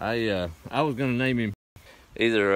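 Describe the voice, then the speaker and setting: A man talks in a fairly low pitch with ordinary pitch variation, and the sound is dry with no echo. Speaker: homesteading vlogger. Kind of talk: casual vlog chat. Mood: relaxed, warm, a bit wistful. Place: garden. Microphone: phone near.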